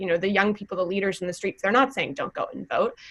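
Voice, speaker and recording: With an ordinary speaking voice, a woman talks at a medium pitch and shows ordinary pitch variation. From US Midwest, Wisconsin. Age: 20s. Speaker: youth climate activist. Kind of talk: panel conversation.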